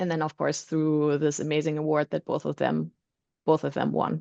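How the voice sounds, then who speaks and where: A woman with a German accent speaks at a fairly quick pace against a quiet background. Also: dry, close sound with no echo. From Germany. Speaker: roofing supply executive. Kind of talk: panel discussion. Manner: many filler ums.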